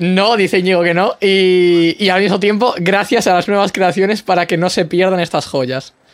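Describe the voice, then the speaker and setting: The speaker holds a moderate pace at very even loudness, with fairly even intonation and hardly any pauses. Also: man, high pitch for a man. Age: young. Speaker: podcast host. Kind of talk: interview.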